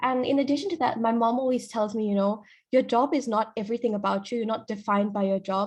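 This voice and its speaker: A somewhat breathy woman talks very fast in a fairly high pitch with ordinary pitch variation. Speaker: pharmacist. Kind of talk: career talk at online panel. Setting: online video event.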